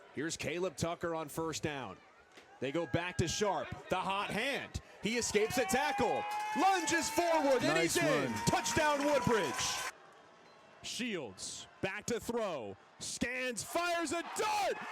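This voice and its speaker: Speech unfolds at a very slow pace with very wide pitch swings. Noticeable background noise is present. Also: man, high pitch for a man. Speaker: football play-by-play announcer. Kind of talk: football play-by-play broadcast commentary.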